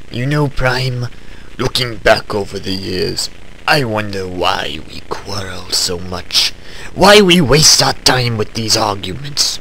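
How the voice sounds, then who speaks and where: Over clear background noise, a man puts on a character voice at medium pitch and a fairly slow pace. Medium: short film. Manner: scornful, grandiose.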